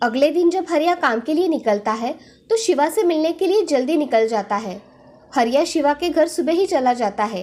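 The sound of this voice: A woman's high-pitched voice, slightly mellow in tone, at a moderate pace with lively intonation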